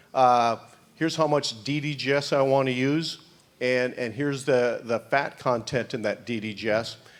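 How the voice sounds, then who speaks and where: A man's medium-pitched voice at a moderate pace, fairly even in intonation, a normal speaking voice with an American accent. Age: 60s. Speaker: animal nutrition scientist. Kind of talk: conference Q&A answers. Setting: conference panel.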